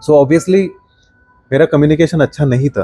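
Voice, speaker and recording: A man talks at a moderate pace with ordinary pitch variation. The sound is dry and close with no echo, and music plays in the background. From India, Maharashtra. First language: Marathi. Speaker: product designer and design teacher. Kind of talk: podcast interview.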